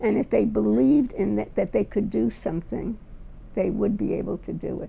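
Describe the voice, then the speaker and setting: A woman with a New York accent speaks at a fairly quick pace with a fairly low pitch and very wide pitch swings. Her tone is dark and mellow, with vocal fry. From New York, Brooklyn. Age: 80s+. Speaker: retired teacher. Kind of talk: personal testimony.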